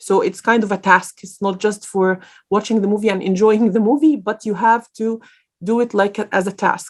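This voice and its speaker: A woman speaks at a moderate pace in a fairly high pitch, her intonation fairly even. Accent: Arabic. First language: Arabic. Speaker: guest speaker on careers. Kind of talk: lecture Q&A. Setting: online event. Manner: hesitant, many fillers.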